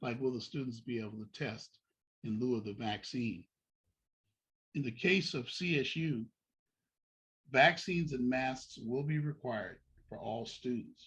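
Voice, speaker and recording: A man talks with ordinary pitch variation at a medium pitch and a moderate pace. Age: 60s. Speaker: deacon giving college admissions advice. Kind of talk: informational talk to parents with slides.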